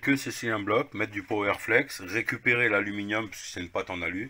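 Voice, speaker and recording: With a Lorraine accent, a man speaks at a fairly low pitch with fairly even intonation. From Lorraine, eastern France. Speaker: car repair video maker. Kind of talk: casual tutorial. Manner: casual, hesitant with fillers.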